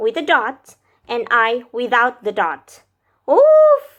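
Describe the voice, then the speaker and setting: A woman's fairly high voice at a very slow pace. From Indonesia. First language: Indonesian. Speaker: vlogger, language learner. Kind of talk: casual vlog explainer. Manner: hesitant, with fillers.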